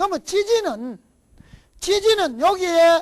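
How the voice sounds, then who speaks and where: A woman speaks at a very slow pace. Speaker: lecturer in Eastern divination and feng shui. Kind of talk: lecture.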